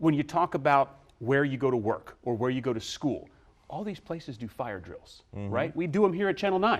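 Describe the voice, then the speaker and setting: A man talks at a fairly quick pace in an ordinary speaking voice. His pitch is medium and his intonation lively. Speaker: TV news reporter. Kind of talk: casual studio conversation with anchor.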